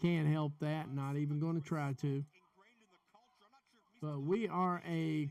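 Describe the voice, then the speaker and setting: A man talks with a strong Southern US accent. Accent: heavy southern US. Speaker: wrestling podcast host. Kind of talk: live watch-along commentary. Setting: live stream.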